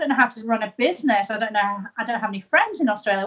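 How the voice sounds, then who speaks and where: This is a woman speaking with a British accent. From UK. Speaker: tea business owner turned live-tweeter. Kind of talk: interview. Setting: live stream.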